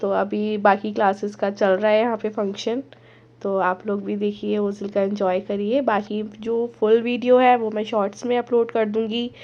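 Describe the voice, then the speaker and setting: Her pitch fairly high, a woman speaks at a fairly slow pace in a monotone, flat intonation. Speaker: vlogger. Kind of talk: vlog talk to camera.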